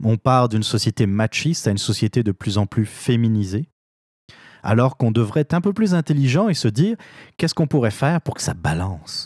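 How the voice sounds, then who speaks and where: A man with a medium-pitched voice speaks at a fairly quick pace with lively intonation. The sound is dry and close with no echo, on a very clean recording with a silent background. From France. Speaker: political podcast host. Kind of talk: opinion commentary monologue. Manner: hesitant, frequent fillers and repetitions.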